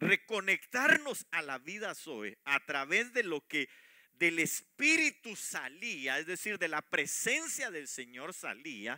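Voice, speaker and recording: With a raised, projected voice and a bright, sharp tone, a man speaks very slowly in a dry, close sound with no echo, on a very clean recording with a silent background. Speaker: preacher. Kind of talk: sermon. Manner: halting, many fillers.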